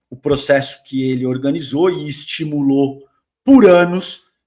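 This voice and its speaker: Ordinary pitch variation at a fairly slow pace. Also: man. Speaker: political commentator. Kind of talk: reaction commentary. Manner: animated.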